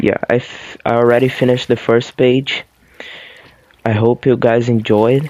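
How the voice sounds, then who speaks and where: This is a man with a Portuguese accent. His pitch sits in the medium range. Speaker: YouTuber reading aloud. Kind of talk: reading aloud; casual chat. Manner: halting, stumbles over words.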